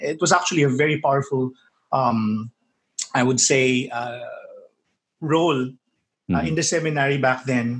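Long, frequent pauses break up a man's speech at a moderate pace. His voice is somewhat breathy. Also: medium pitch for a man, ordinary pitch variation. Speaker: tech blogger and digital media entrepreneur. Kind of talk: casual interview. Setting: video call.

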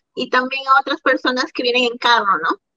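A woman's raised, projected voice has a bright, sharp tone and ordinary pitch variation, with a dry, close sound and no echo. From Peru. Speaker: hairstylist and COVID tester. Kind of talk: casual chat.

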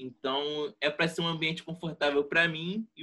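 Moderately paced, the voice has a bright, sharp tone. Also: man. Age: 20s. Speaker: economics student and podcaster. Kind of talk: casual chat.

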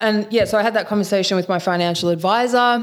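Speaking at a fairly quick pace with fairly even intonation, a woman has an unremarkable speaking voice. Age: 20s. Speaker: podcast host and coach. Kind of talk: casual chat.

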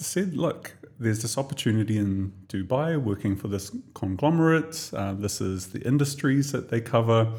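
A man with a New Zealand accent speaks at medium pitch with lively intonation. His tone is dark and mellow. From New Zealand, Tokomaru Bay. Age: 40s. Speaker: podcast co-host. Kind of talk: casual interview chat.

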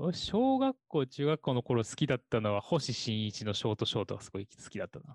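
A man's plain, everyday voice at a medium pitch, fairly quick with hardly any pauses, ordinary pitch variation and big swings in loudness, in a dry, close sound with no echo. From southern Osaka, Japan. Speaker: podcast co-host. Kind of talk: casual chat.

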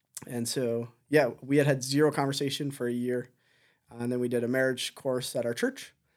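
The man speaks at a moderate pace in an Ontario accent, with monotone, flat intonation. The recording is very clean, with a silent background. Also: medium pitch for a man. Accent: Canadian English (Ontario). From Southern Ontario, Canada. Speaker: missionary church planter. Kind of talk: interview. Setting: studio.

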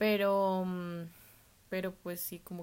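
This woman has a fairly low voice and talks in a monotone, flat intonation on a very clean recording with a silent background. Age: 20s. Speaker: food blogger and design student. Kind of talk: podcast interview.

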